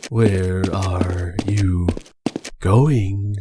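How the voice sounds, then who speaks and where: A man puts on a character voice pitched very deep and low. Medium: virtual streamer. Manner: clipped, formal.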